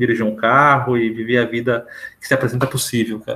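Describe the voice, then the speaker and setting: A man talks very fast at a medium pitch. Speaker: literature podcast co-host. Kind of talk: casual chat. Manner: stutters.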